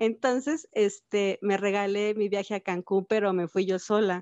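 A woman speaks with a Mexican accent at medium pitch. Her pace is moderate. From Mexico, Cuernavaca, Morelos. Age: 30s. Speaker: amputee mother sharing her story. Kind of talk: interview testimony.

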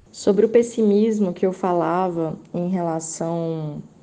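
A woman's voice with a dark, mellow tone. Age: 20s. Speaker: teacher and historian. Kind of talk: casual interview. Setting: WhatsApp voice messages.

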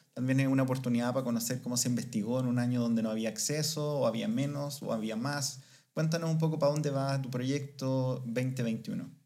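A man speaks at a fairly quick pace with hardly any pauses, his dark, mellow tone sitting at a medium pitch with fairly even intonation against audible room echo. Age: 30s. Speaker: podcast co-host. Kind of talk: casual chat.

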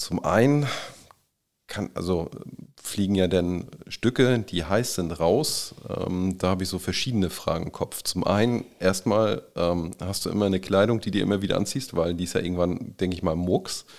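Very deep and low, a man's voice moves at a moderate pace. His pitch variation is ordinary. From northern Germany, Kiel. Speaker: podcast host. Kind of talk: interview.

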